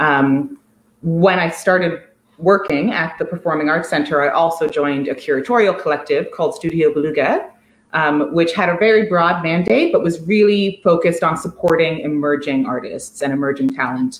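The speaker has an American accent and ordinary pitch variation. The pace is moderate, with audible room echo. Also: woman. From US, Washington D.C. area. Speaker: art curator. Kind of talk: conversational interview. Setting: empty apartment, video call. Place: home room. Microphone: video call.

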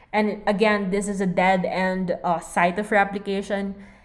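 A woman's medium-pitched voice at a moderate pace, with audible room echo. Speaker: veterinary lecturer. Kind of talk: lecture. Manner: casual.

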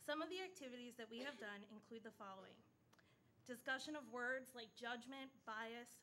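Over light background noise, a woman speaks very fast in a high, bright, sharp tone with ordinary pitch variation. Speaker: presenter. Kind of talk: prepared presentation to board. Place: meeting room. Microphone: podium.

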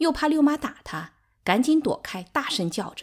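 On a very clean recording with a silent background, a woman speaks at a moderate pace in an animated tone with very wide pitch swings. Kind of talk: literary audiobook reading, dramatized narration. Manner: animated, shifting between narrator and quarreling characters.

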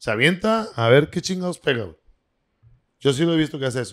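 A man with a northern Mexican accent speaks at a fairly quick pace with lively intonation. The background is quiet. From northern Mexico. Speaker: restaurant owner; podcast guest. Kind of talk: casual chat. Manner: animated, profane. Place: studio. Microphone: handheld.

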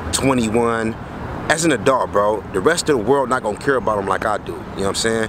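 Over noticeable background noise, a man speaks at a very fast pace with ordinary pitch variation in a dry sound with no echo. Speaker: vlogger. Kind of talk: casual vlog chat. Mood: reflective, earnest. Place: street. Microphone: phone near.

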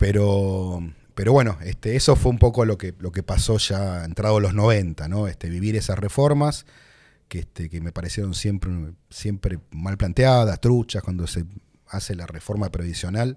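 A dark, mellow tone at a moderate pace, with big swings in loudness over a quiet background. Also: man, fairly low pitch for a man, ordinary pitch variation. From Buenos Aires, Argentina; Argentina. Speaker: economist and politician; politician. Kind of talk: interview conversation. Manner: hesitant, many fillers. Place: studio. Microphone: studio mic.

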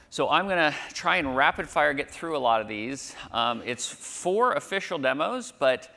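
The man's voice has a bright, sharp tone. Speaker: conference presenter. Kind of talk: lecture. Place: hall. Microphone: lapel.

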